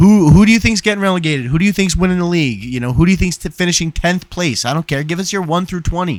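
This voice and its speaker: A man's high-pitched, animated voice with an American accent, very fast with hardly any pauses, on a very clean recording with a silent background. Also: ordinary pitch variation. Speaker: football podcast host. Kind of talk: casual chat.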